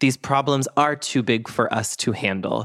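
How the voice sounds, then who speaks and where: On a very clean recording with a silent background, a man with an American accent speaks at a moderate pace with fairly even intonation. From Boston. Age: 30s. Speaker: podcast host. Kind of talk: interview podcast.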